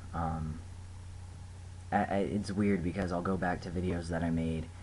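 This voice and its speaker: Amid audible room echo, a somewhat breathy man with a very deep, low pitch speaks at a moderate pace in a monotone, flat intonation. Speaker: vlogger. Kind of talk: casual video diary. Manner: hesitant, many fillers.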